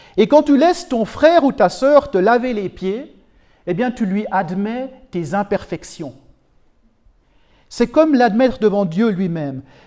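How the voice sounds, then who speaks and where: A man speaks very slowly, with long, frequent pauses, in a dark, mellow tone. His pitch is high and swings very widely. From Switzerland, canton of Neuchâtel. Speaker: preacher. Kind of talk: sermon. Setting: church.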